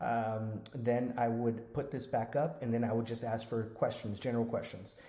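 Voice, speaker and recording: Somewhat breathy, a man's voice sits at a medium pitch with a dark, mellow tone and monotone, flat intonation. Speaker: Medicare insurance agent trainer. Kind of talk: tutorial. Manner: fast.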